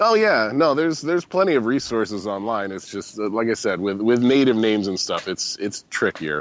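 An unremarkable speaking voice from a man with an American accent, medium pitch and lively intonation, at a moderate pace with hardly any pauses. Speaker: podcast guest. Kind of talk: casual chat.

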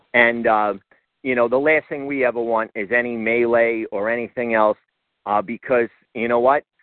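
Moderate pace, monotone and flat intonation, and a medium-pitched male voice. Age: 40s. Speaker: MMA promoter. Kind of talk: casual chat. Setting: phone call.

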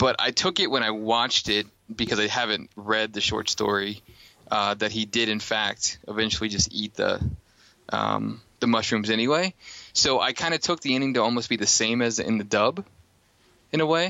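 At a moderate pace, this is a plain, everyday voice with ordinary pitch variation. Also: man, medium pitch for a man. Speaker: podcast host.

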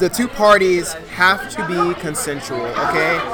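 An animated tone comes through over crowd noise in the background. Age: 20s. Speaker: podcast host. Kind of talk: casual chat. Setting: restaurant.

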